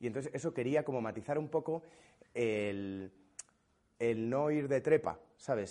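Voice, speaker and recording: Dark and mellow in tone, a man's medium-pitched voice moves at a fairly slow pace with ordinary pitch variation. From Spain. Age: 30s. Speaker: comedian. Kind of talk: casual chat.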